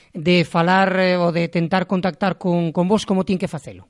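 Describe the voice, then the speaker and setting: This is a man speaking. His pitch is high for a man. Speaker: radio host. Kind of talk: radio interview.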